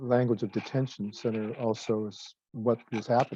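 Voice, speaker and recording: In a West Coast American accent, a man speaks at a medium pitch and a fairly slow pace. His tone is dark and mellow, his intonation monotone and flat. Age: 60s. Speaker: retired pastor. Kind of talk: oral history interview.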